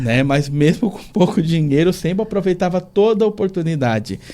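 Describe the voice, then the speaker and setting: Speaking at a moderate pace, a man uses lively intonation and a dark, mellow tone. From southern Santa Catarina, Brazil. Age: 40s. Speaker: pastoral trainee, former bank worker. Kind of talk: radio interview.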